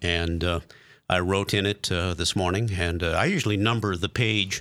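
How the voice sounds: On a very clean recording with a silent background, a man with a low pitch and a fairly bright tone talks at a moderate pace. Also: fairly even intonation.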